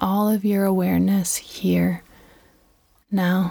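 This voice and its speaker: Delivered at a very slow pace, the voice has a gentle tone on a very clean recording with a silent background. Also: woman. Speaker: podcast host and radio host. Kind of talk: guided meditation. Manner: slow, soothing, repeating body-part cues with calm pauses; gentle, reflective.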